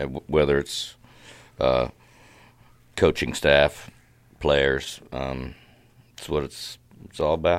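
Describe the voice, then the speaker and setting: In a monotone, flat delivery with vocal fry, a man with a very deep, low pitch talks at a very slow pace, taking long, frequent pauses while his loudness swings widely. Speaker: football coach. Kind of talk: casual interview chat. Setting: studio.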